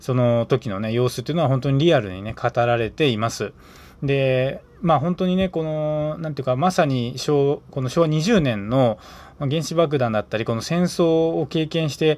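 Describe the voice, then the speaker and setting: On a very clean recording with a silent background, a man with a normal speaking voice talks at a moderate pace, his fairly high pitch showing ordinary variation. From Aichi Prefecture, Tokai region, Japan. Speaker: podcast host. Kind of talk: casual morning solo podcast talk.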